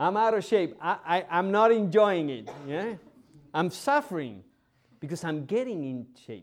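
A man with a non-native accent speaks at a fairly slow pace and a high pitch, with very wide pitch swings and big swings in loudness. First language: not English. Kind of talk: homily. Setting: church. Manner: halting.

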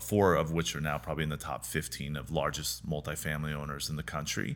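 A man speaks at a very deep, low pitch with fairly even intonation. His tone is bright and sharp, with vocal fry. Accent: American. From US Pacific Northwest, rural eastern Washington. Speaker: real estate developer. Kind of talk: interview.

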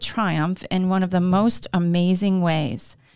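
A plain, everyday voice at a fairly slow pace, in a very clean recording with a silent background. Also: woman. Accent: American. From Glens Falls, New York. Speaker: podcast host and co-working space owner. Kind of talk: casual interview chat.

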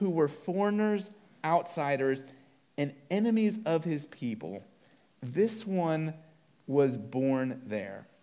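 In a room with audible echo, a man with a high pitch and a dark, mellow tone speaks with lively intonation. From moved around, partly Colorado. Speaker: pastor. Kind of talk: sermon.

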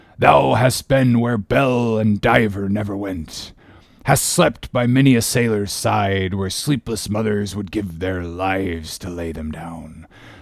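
A man uses a put-on character voice with vocal fry at a fairly low pitch. He goes at a slow pace, with ordinary pitch variation.

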